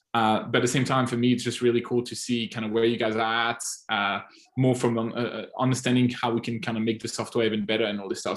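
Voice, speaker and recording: In a Swiss French accent, a man talks at a very fast pace with a medium pitch. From French-speaking Switzerland, near French border. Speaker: agency owner and software advisor. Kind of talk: casual group call Q&A. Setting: audio-only online call. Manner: animated.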